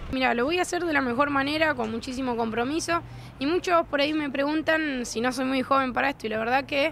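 Her pitch is high. A woman talks at a very fast pace. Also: ordinary pitch variation. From Argentina, Coronda (Santa Fe). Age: 30s. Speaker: politician. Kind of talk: press interview.

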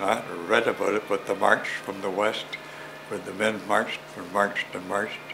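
Over noticeable background noise, a man with a fairly low pitch talks at a moderate pace. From Ontario, Canada (Oakville); Ontario, Canada. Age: 90s. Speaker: elder recalling childhood; interviewee. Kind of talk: oral history interview. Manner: halting, many repetitions. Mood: warm, smiling. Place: home room.

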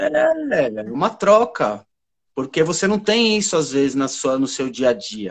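A man's fairly high voice with very wide pitch swings, at a fairly slow pace over a quiet background. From São Paulo, east zone. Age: 40s. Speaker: therapist and spiritualist; guest. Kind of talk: live stream conversation. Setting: live video stream. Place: home room. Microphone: video call.

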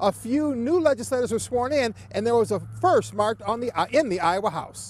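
Light background noise sits behind a man speaking at a high pitch. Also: dry sound with no echo. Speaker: TV news reporter. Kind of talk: news report. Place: street.

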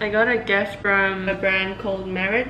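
A woman speaks at a very slow pace with a monotone, flat intonation. There is light background noise behind her. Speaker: student vlogger. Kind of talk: casual vlog chat. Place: home room. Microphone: phone near.

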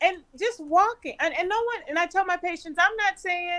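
Her tone is bright and sharp. The woman's voice is raised and projected. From California. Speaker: physician; panelist. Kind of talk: panel discussion. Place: home room. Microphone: webcam.

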